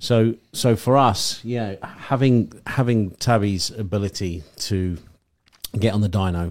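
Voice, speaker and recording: Here a man has a plain, everyday voice. His pitch is fairly low, with ordinary pitch variation. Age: 30s. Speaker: company director. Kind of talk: casual chat.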